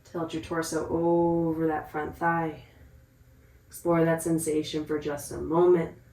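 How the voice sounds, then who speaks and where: Monotone and flat, a woman's fairly low voice moves at a fairly slow pace with audible room echo around it. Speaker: yoga instructor. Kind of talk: guided yoga class.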